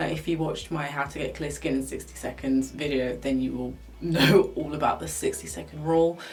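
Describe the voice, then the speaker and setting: A woman speaks at a fairly quick pace amid audible room echo and noticeable background noise. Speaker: beauty vlogger. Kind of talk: product review vlog.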